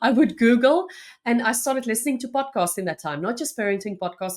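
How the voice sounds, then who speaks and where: A very fast woman's voice with a South African accent, ordinary pitch variation and a very clean recording over a silent background. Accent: Afrikaans South African English. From South Africa, North West province small town. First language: Afrikaans. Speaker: journalist and podcaster. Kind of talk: interview conversation.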